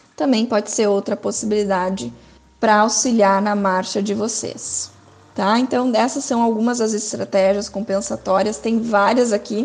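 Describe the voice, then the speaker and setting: In an unremarkable speaking voice, a woman talks at a moderate pace with fairly high pitch and fairly even intonation. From southern Brazil, Porto Alegre. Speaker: physiotherapist and researcher. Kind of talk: lecture.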